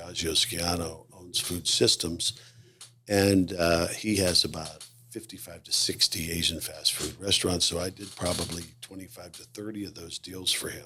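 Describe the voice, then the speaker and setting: With a very deep, low pitch, a man speaks at a moderate pace in fairly even intonation. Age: 60s. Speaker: retired mall leasing executive. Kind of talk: casual interview chat.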